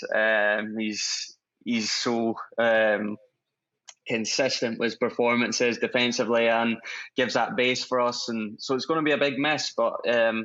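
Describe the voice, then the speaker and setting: A man in a Scottish accent speaks at a fairly slow pace, his medium pitch held in a monotone, flat intonation. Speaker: professional footballer. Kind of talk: interview. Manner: hesitant, many fillers.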